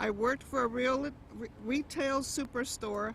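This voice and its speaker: A woman speaks with fairly even intonation amid noticeable background noise. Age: 60s. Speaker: rideshare driver. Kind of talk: prepared speech at a rally.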